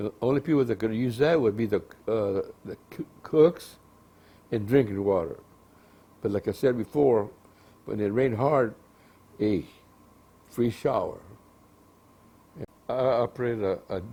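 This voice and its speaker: A man's dark, mellow voice in an American accent, at a moderate pace with ordinary pitch variation and long, frequent pauses. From United States, California. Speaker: war veteran. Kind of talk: interview answer. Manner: disfluent, hesitant, recalling.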